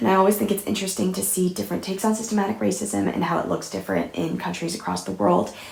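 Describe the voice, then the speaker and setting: Very fast speech from a woman amid noticeable background noise. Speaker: book reviewer. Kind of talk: casual talk to camera.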